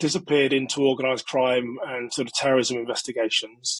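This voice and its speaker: A man with a British accent is heard in a dry, close recording without echo. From England. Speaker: security expert and former police detective. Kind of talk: podcast interview.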